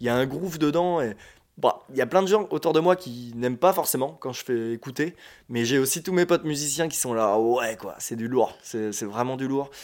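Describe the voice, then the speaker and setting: In an ordinary speaking voice at a medium pitch, a man talks at a moderate pace with big swings in loudness, recorded very cleanly against a silent background. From France, Île d'Oléron. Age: 20s. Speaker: bassist and skate instructor. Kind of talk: casual chat. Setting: shared flat.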